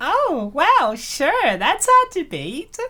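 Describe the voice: A woman does a put-on character voice, high-pitched and bright and sharp in tone. She talks at a very slow pace with very wide pitch swings.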